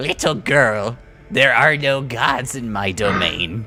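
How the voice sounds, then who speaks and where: Over faint music in the background, a man performs a put-on character voice at a medium pitch and a fairly slow pace. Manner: menacing.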